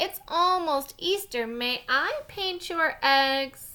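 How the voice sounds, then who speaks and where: Using a put-on character voice, a woman speaks at an extremely high pitch and a very slow pace. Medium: read story.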